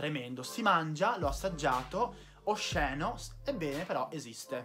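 A man speaks in an upbeat tone at a fairly slow pace, his pitch swinging very widely, with clear music in the background. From Veneto, Italy. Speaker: video creator. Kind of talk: casual talk to camera. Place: home room. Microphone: phone near.

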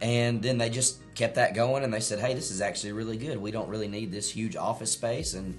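Against faint music in the background, a man talks at a fairly quick pace with ordinary pitch variation. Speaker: presenter. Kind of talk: casual discussion commentary. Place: home room.

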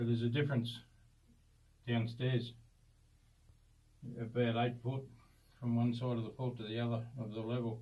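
A man with a dark, mellow tone speaks at a moderate pace, his somewhat breathy voice monotone and flat, broken by long, frequent pauses. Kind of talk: explanatory tour talk. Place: tunnel cave. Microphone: phone near.

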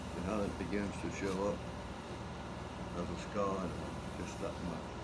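Loud background noise surrounds the recording. A man speaks at a fairly slow pace. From Tangier Island, Virginia. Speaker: watercolor painter and art teacher. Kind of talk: painting class demonstration. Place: classroom. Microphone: phone near.

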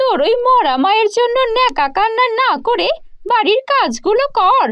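Putting on a character voice, the woman talks fairly slowly at an extremely high pitch. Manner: harsh, angry.

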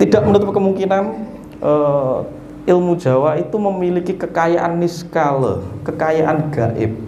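A man at a fairly slow pace with lively intonation, over light background noise and audible room echo. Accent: Javanese. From East Java, Indonesia. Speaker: spiritual teacher. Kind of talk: teaching talk to a seated group. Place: hall. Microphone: handheld.

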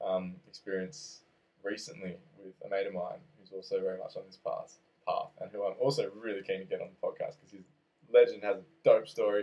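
With an Australian accent, a man talks at a fairly quick pace, his loudness swinging widely. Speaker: podcast host. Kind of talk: casual chat. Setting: small office.

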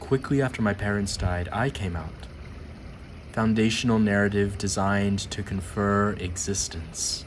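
A man speaks at a fairly slow pace, pitched fairly low with ordinary variation. He uses an ordinary speaking voice. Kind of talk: poem reading. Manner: slow, measured, deliberate delivery; solemn, intense, emotionally weighty.

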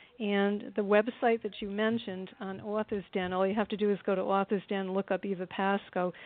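At a moderate pace, the speaker uses a plain, everyday voice. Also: woman. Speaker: author and retired elementary teacher. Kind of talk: casual interview chat.

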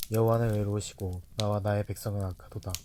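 Speaking at a very fast pace, a man delivers his words with monotone, flat intonation. His voice is fairly low and dark and mellow in tone. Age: 20s. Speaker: scripture narrator. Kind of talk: reading aloud. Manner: measured.

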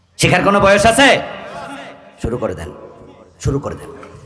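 Amid noticeable background noise and audible room echo, a man's intonation stays lively. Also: big swings in loudness. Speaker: Islamic preacher. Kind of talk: sermon. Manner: animated.

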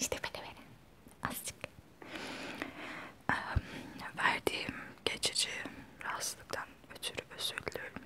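Whispering in a relaxed tone, a woman keeps a moderate pace broken by long, frequent pauses. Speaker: ASMR vlogger. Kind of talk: casual talk to camera. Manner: soft-spoken, relaxed. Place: home room. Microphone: lapel.

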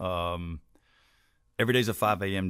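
A man with a very deep, low voice is heard against a quiet background, the sound dry with no echo. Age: 50s. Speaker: pastor; pastor, podcast guest. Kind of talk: interview conversation. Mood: relaxed, conversational. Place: studio. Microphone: studio mic.

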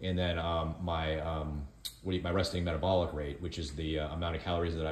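Amid light background noise and audible room echo, a man with a very deep, low pitch speaks fairly quickly in a monotone, flat intonation. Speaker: co-host filming the video. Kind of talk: casual vlog chat. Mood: calm, explanatory. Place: kitchen.

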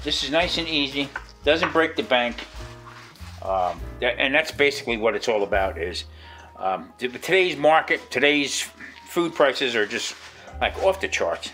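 Faint music plays in the background while the speaker leaves long, frequent pauses. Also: moderate pace. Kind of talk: cooking tutorial chat. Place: kitchen.

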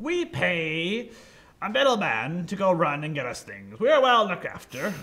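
A man puts on a character voice, pitched high. He keeps a moderate pace. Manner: indignant, commanding.

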